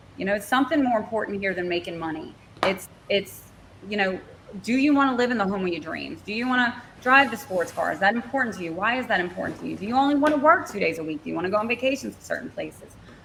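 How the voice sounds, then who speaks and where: Over noticeable background noise, a woman talks at a very fast pace and medium pitch. Her intonation is lively and her loudness swings widely. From southern Louisiana, Cajun. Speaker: marketing consultant. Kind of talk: podcast interview.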